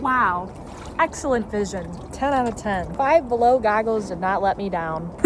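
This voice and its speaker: Noticeable background noise surrounds a woman with an American accent. Her fairly high pitch carries lively intonation and an animated tone. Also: moderate pace. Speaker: YouTuber. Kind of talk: casual vlog chat.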